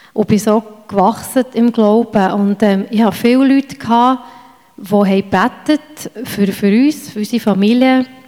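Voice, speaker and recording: Noticeable background noise accompanies a woman whose voice is fairly high. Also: fairly even intonation, moderate pace. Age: 40s. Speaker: church member. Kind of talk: testimony.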